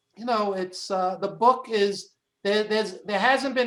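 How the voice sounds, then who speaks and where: A man with a Brooklyn accent, high in pitch, with ordinary pitch variation. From New York, Brooklyn. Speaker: wrestling film producer, author and podcaster. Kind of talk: interview. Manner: halting, many fillers.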